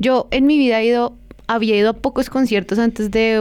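A woman speaks at a moderate pace with fairly high pitch. Hers is a normal speaking voice. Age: 30s. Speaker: podcast guest, K-pop fan. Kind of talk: casual chat.

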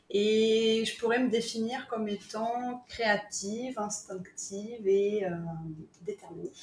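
The delivery is very slow, with fairly even intonation. Noticeable background noise runs underneath. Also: woman, fairly high pitch for a woman. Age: 40s. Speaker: creative workshop founder. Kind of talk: interview. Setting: remote call. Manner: hesitant.

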